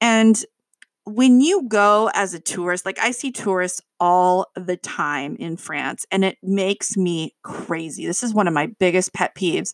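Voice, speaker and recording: A woman with a medium-pitched voice and an animated tone speaks at a fairly slow pace with ordinary pitch variation, in a dry, close sound with no echo. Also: very clean recording, silent background. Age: 30s. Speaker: language teacher and podcast host. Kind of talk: casual monologue podcast.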